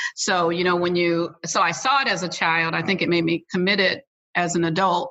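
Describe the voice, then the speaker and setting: This is a normal speaking voice. It carries an American accent. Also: woman. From Missouri, St. Louis. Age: 60s. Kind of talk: interview.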